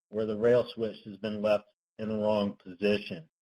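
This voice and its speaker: A man speaks with a dark, mellow tone in a dry, close sound with no echo. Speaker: transportation engineering consultant. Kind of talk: webinar presentation. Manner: tends to speak softly; hesitant, many fillers. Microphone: speaking into phone.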